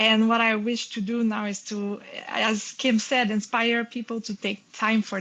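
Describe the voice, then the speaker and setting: Speaking with a French accent, a woman's voice sits fairly high in pitch. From Quebec, Montreal. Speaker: panel speaker, creative workshop leader. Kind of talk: panel conversation. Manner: halting.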